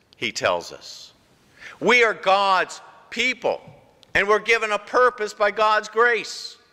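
In a raised, projected voice, a man speaks at a very slow pace with long, frequent pauses against a quiet background. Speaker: pastor. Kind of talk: sermon. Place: church.

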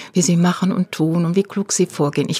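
A dark, mellow, somewhat breathy voice with ordinary pitch variation sounds dry and close, with no echo. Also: woman. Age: 60s. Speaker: activist. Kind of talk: interview.

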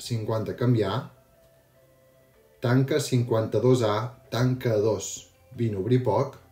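Faint music plays in the background as a man talks with fairly even intonation amid audible room echo. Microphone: helmet.

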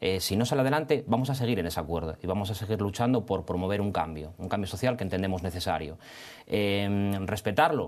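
Very fast and with lively intonation, a man speaks at a fairly low pitch. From Spain. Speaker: lawyer. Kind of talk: studio debate. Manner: halting, many repetitions and fillers. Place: studio. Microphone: lapel.

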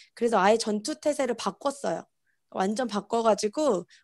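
A woman's fairly high voice with ordinary pitch variation, a dry sound with no echo, and a quiet background. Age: 30s. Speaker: network marketing distributor; conference presenter. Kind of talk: interview answers on video conference. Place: home room. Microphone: earbuds.

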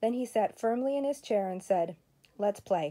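A woman with a warm tone that is also dark and mellow speaks at a moderate pace with ordinary pitch variation against a quiet background. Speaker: grandmother reading to grandchildren. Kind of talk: bedtime story reading aloud, voicing the characters' lines. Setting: home, during quarantine. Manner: animated, expressive storytelling with dramatic pacing; warm, friendly, child-directed. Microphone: phone near.

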